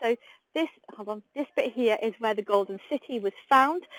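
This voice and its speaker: Lively intonation marks this woman's fairly high-pitched voice. The sound is dry and close, with no echo. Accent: English. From UK. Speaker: tour guide. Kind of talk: live guided tour. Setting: outdoors, live stream walking tour. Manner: chatty, friendly.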